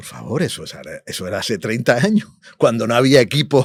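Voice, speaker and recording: Lively in intonation and medium in pitch, a man speaks at a moderate pace with a dry, close sound and no echo. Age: 60s. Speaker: musician and producer. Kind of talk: interview. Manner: animated.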